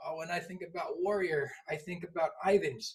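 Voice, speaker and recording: The man's voice sits at a high pitch. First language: not English. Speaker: public speaking instructor. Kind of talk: tutorial. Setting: at home. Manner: animated.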